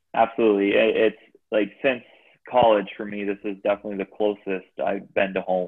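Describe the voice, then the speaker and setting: A man speaks at a moderate pace with an American accent. His fairly low voice stays monotone and flat. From Chicago area, Illinois (Gurnee). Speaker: ice hockey assistant coach, former player. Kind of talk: casual interview chat. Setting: video call.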